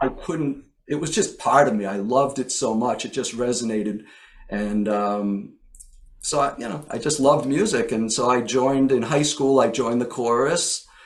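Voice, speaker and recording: This is a man with an American accent and an ordinary speaking voice. He moves at a moderate pace with ordinary pitch variation. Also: medium pitch for a man. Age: 60s. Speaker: songwriter. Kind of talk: interview.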